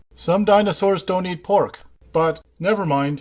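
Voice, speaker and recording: A man's cartoonish character voice, high-pitched for a man, at a moderate pace. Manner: blunt, gruff.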